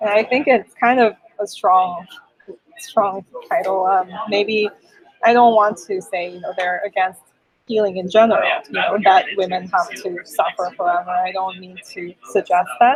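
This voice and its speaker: A woman with a Korean accent talks at a moderate pace and medium pitch, her pitch varying in an ordinary way while her loudness swings widely. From South Korea, later Canada. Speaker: poet and translator. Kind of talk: interview.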